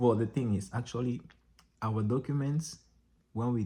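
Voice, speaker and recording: A man's somewhat breathy voice, dark and mellow in tone, with ordinary pitch variation at a moderate pace. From Cameroon. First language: French. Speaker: vlogger and dancer. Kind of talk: casual vlog monologue. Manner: casual, halting with self-corrections.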